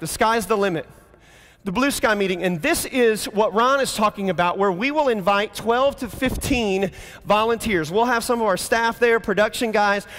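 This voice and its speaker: Animated in tone, a man talks at a high pitch with ordinary pitch variation. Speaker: pastor. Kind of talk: conference talk. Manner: fast.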